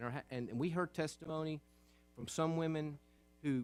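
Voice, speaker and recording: This is a man's voice. He speaks with a Southern US accent. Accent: Southern American. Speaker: state senator. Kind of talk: legislative floor speech.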